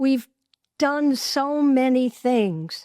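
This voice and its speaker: On a very clean recording with a silent background, a woman with an American accent speaks at a very slow pace in a high pitch, the sound dry and close with no echo. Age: 80s+. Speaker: podcast host. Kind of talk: solo podcast talk.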